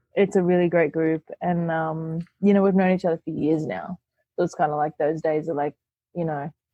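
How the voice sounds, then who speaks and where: A woman with an Australian accent, fairly low in pitch, fairly even in intonation, at a moderate pace. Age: young. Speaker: burlesque performer. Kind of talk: interview.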